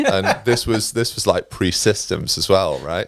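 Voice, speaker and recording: In an East Midlands accent, a man talks at a very fast pace on a very clean recording with a silent background. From England, Derbyshire (East Midlands). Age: 40s. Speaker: recruitment leader. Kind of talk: podcast interview. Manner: casual, chatty.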